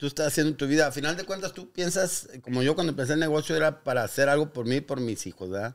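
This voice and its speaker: A man with a Mexican accent talks at a very fast pace with hardly any pauses. His pitch is fairly high with ordinary variation, over a quiet background. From Guanajuato, Mexico. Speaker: business owner; guest. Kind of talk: interview. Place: shop. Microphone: studio mic.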